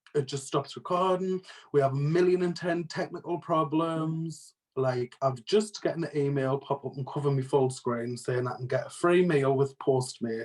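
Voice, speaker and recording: A man with a British accent talks at a moderate pace with a fairly high pitch and ordinary pitch variation. His voice is somewhat breathy. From northeast England, Sunderland/Durham area. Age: 20s. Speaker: podcast co-host. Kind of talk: casual chat.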